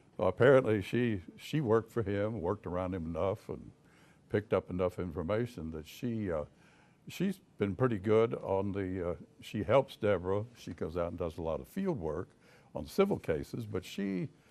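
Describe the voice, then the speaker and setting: Moderate speech from a man, fairly low in pitch, with ordinary pitch variation. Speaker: private investigator. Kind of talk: talk to an audience. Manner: halting, many fillers and repeats.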